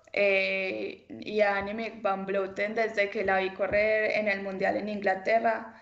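Speaking at a very slow pace, a woman with a medium pitch is heard amid audible room echo. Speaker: professional cyclist. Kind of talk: interview. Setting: video call. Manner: hesitant, many fillers.

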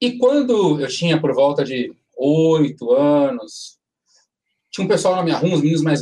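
An ordinary speaking voice from a man, fairly high in pitch, at a moderate pace with lively intonation. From São Paulo, Brazil (Limão district). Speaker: samba composer. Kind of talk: casual chat.

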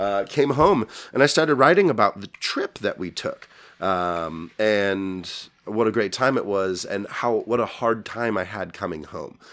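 A man speaks at a fairly slow pace in a gravelly voice of fairly low pitch. His intonation is lively. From Tucson, Arizona. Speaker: musician. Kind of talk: casual interview chat.

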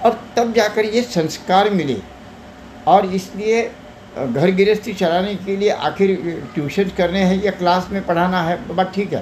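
A man speaks with a high pitch and ordinary pitch variation. Noticeable background noise runs underneath. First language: Marathi (speaking Hindi). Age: 80s+. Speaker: retired teacher and social worker. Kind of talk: interview. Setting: wellness clinic.

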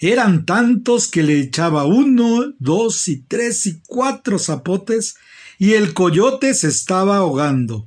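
A man with a Mexican accent speaks very slowly in a playful tone, his high voice making very wide pitch swings. The background is quiet. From Mexico City. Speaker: retired doctor, oral storyteller. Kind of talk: bedtime story telling, folk tale. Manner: playful, expressive.

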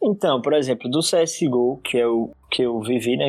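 A man speaks in a normal speaking voice with ordinary pitch variation. The sound is dry and close, with no echo. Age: 20s. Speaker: advertising professional and gamer. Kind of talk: casual chat.

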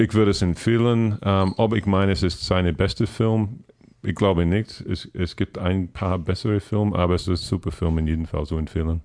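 With ordinary pitch variation, a man's voice sits very deep and low. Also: moderate pace. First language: English (speaking German). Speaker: podcast listener and guest. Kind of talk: casual chat. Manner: halting.

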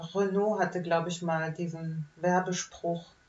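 Against noticeable background noise, a woman speaks in a fairly low pitch with monotone, flat intonation. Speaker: podcast host. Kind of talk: casual chat.

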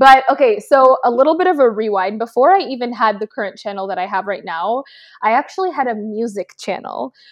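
A woman with a Canadian accent talks at a fairly quick pace. She has a plain, everyday voice with lively intonation. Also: fairly high pitch for a woman. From Canada, Toronto. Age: 20s. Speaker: beauty and lifestyle content creator. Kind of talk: casual interview.

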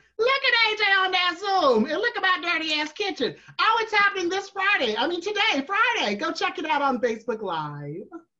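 Over noticeable background noise, a woman with an extremely high pitch raises and projects her voice as her pitch swings very widely. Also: moderate pace. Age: 30s. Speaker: drag performer and virtual bingo host. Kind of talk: casual chat. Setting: video call. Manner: animated.

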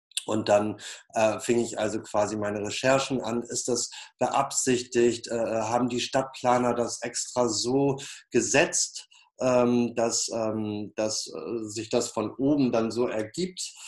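At a very slow pace, a man speaks with a medium pitch and fairly even intonation. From northern Germany, Flensburg. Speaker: peace artist. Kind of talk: interview. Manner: many filler sounds, hesitant.

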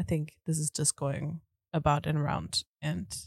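A woman speaks in an animated tone at a moderate pace. Her voice is somewhat breathy. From Germany. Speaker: podcast co-host. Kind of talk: casual chat.

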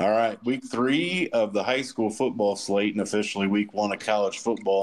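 A plain, everyday voice speaks at a moderate pace. The intonation stays fairly even. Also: man. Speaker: podcast host. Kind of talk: casual sports podcast chat.

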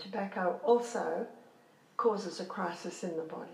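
Delivered at a very slow pace with ordinary pitch variation, the speech carries audible room echo and noticeable background noise. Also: woman. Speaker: health educator. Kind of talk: lecture.

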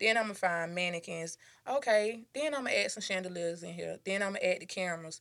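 This woman has a normal speaking voice at a medium pitch. She talks at a fairly quick pace with ordinary pitch variation. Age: 20s. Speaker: boutique owner. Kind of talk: casual interview. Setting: in her store.

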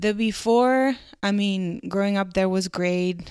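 In a very clean recording with a silent background, a woman with a Spanish accent speaks at a fairly slow pace with fairly even intonation. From Mexico, Culiacán, Sinaloa. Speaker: industrial designer. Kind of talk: casual chat.

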